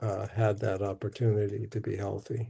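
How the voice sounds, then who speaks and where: Very slowly, a man speaks in a somewhat breathy voice with a dark, mellow tone. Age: 70s. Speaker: sickle cell physician. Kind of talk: live Q&A stream. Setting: livestream.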